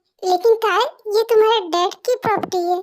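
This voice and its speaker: A woman's squeaky, put-on character voice at an extremely high pitch and a fairly quick pace. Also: fairly even intonation. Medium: fan dub. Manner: soft, reassuring.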